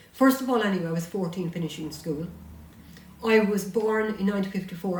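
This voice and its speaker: Audible room echo surrounds a woman who speaks at a fairly quick pace with ordinary pitch variation. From Ireland, County Tipperary. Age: 70s. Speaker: author and local historian. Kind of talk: interview chat.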